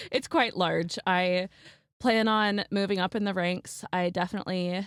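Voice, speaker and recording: A woman speaks in a plain, everyday voice at a fairly slow pace and medium pitch with fairly even intonation, recorded very cleanly with a silent background and a dry, close sound with no echo. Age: 20s. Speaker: nursing student. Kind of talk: casual chat.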